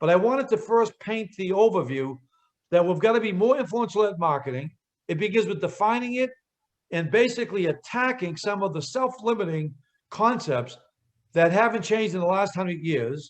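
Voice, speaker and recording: With a Boston accent, a man talks at a fairly quick pace and high pitch. His intonation is lively. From Boston area, US Northeast. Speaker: real estate marketing speaker. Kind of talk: webinar presentation. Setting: group call. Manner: animated.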